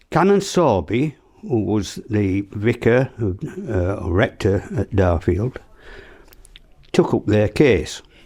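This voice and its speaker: A man with a Yorkshire accent speaks very slowly in a fairly low, dark and mellow voice that is somewhat breathy, with lively intonation. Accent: broad Yorkshire. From South Yorkshire, England. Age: 80s. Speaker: elderly local resident sharing memories. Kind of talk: oral history interview, reminiscing. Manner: halting, with frequent fillers and restarts.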